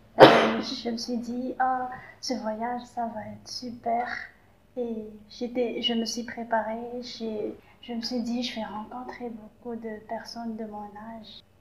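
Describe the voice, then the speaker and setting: Very slow and fairly high-pitched, a woman talks amid noticeable background noise and audible room echo. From Madagascar. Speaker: youth exchange participant. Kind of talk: casual interview. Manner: halting.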